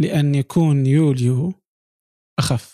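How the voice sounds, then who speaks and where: The voice has a dark, mellow tone, somewhat breathy, with fairly even intonation. The sound is dry and close, with no echo. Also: man. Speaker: podcast host. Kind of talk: interview. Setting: recording from home.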